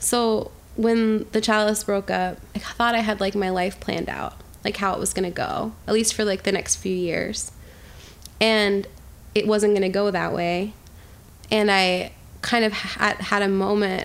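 Speaking with an American accent, a woman keeps a medium pitch and fairly even intonation, moving at a fairly slow pace with long, frequent pauses. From New York City. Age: 20s. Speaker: singer-songwriter. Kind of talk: interview.

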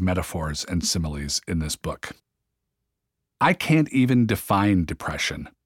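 An unremarkable speaking voice with lively intonation, dry and close with no echo, on a very clean recording with a silent background. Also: man. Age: 50s. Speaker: podcast host and author. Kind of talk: audiobook reading of a memoir, personal and confessional. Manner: conversational, wry and self-deprecating, gentle humor, unhurried; earnest, warm, reflective.

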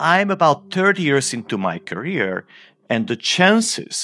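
Over a silent background in a very clean recording, a man speaks fairly slowly with vocal fry and a bright, sharp tone, his pitch swinging very widely. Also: dry, close sound with no echo. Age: 50s. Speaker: physicist. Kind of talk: interview.

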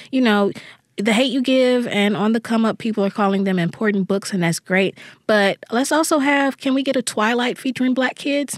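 A woman with a normal speaking voice and an American accent speaks at a fairly high pitch and moderate pace, with ordinary pitch variation. Her loudness stays very even, and the sound is dry and close with no echo. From US South, Jackson, Mississippi. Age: 30s. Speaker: young adult novelist. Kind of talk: interview.

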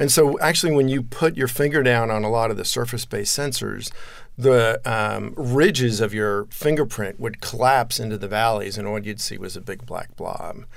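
With an American accent, a man talks at a moderate pace and medium pitch, his pitch varying in an ordinary way, with audible room echo. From New Jersey. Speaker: tech entrepreneur. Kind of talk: interview.

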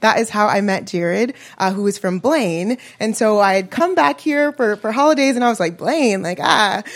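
A woman with an American accent has an unremarkable speaking voice, fairly high in pitch, with lively intonation at a moderate pace. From Chicago. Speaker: apartment resident. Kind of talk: personal story at live event. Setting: coffee shop with live audience.

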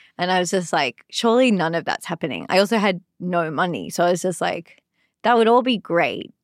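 With an Australian accent, a woman talks fairly quickly at a medium pitch with ordinary variation. The recording is very clean, dry and close, with a silent background and no echo. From Sydney, Australia. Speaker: comedian. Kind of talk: casual chat. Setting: studio.

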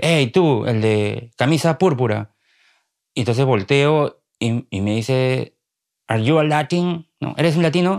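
On a very clean recording with a silent background, a man speaks at a medium pitch and a fairly slow pace. His intonation is lively, and the sound is dry and close with no echo. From Peru, Lima. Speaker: journalist and writer. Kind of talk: interview. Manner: halting, repeats words.

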